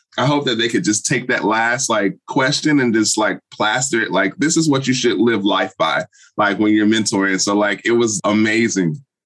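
A man's unremarkable speaking voice at medium pitch and a moderate pace, with ordinary pitch variation, very even loudness and hardly any pauses. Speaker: podcast host and professor. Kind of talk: interview.

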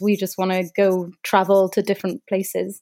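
A woman speaks with a Cardiff accent in a dark, mellow tone. The recording is very clean with a silent background. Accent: Welsh (Cardiff). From Wales, Cardiff. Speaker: wedding videographer. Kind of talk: casual interview.

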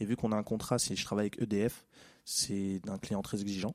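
A man talks at a fairly quick pace and fairly low pitch. His intonation is monotone and flat, on a very clean recording with a silent background. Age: 20s. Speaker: office worker. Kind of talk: casual chat.

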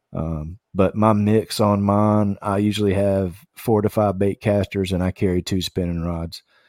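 In a very clean recording with a silent background and a dry, close sound with no echo, a man speaks with a Southern US accent at a fairly low pitch. His delivery is fairly slow and monotone, with flat intonation and hardly any pauses. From US South, Tennessee and Kentucky. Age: 40s. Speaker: podcast co-host, kayak angler. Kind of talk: casual interview.

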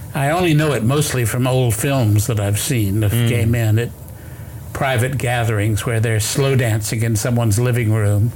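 Moderate pace, fairly even intonation and very even loudness over noticeable background noise. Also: man, medium pitch for a man. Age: 70s. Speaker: author. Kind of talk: interview. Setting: studio. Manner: halting.

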